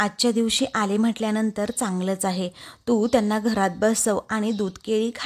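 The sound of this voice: Unforced reading voice, intonation fairly even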